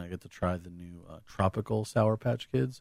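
A man speaks in an American accent with ordinary pitch variation, the sound dry and close with no echo. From Southern California, US. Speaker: returning podcast guest, theme park fan. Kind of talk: casual chat.

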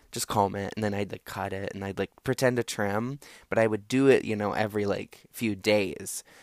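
A man speaks in an animated tone at a fairly low pitch and a moderate pace. The recording is very clean, with a silent background and a dry, close sound with no echo. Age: 20s. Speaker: podcast host. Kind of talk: solo storytelling monologue. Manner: animated, casual with many fillers.

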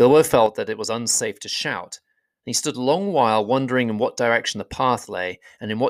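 The background is quiet while the speaker is reading aloud in a natural voice, with ordinary pitch variation.

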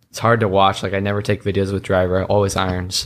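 Speaking at a fairly quick pace, a man uses a very deep, low pitch. He has an American accent and flat, monotone intonation. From US West, Reno, Nevada and San Diego. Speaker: college golfer. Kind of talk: casual chat. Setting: indoor golf facility at a tournament.

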